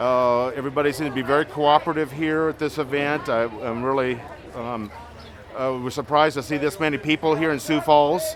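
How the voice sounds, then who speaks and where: A man keeps his intonation fairly even and his pace moderate while noticeable background noise carries on around him. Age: 50s. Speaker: protester, maintenance worker. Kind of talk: street interview. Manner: halting, many fillers.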